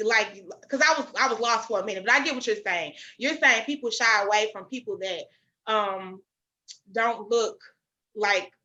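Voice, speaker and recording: Loud and with a bright, sharp tone, the voice moves with lively intonation and leaves long, frequent pauses. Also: woman. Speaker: podcast host. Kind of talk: casual chat. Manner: informal, non-standard speech.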